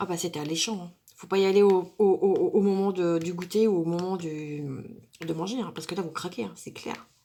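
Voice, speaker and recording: A woman speaks at a moderate pace and medium pitch, her intonation fairly even while her loudness swings widely. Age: 40s. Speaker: craft YouTuber. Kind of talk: casual tag video monologue. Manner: hesitant, many fillers.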